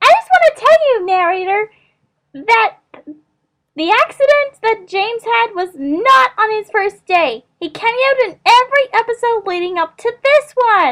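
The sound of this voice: In a cartoonish character voice, a woman talks at a moderate pace with an extremely high pitch.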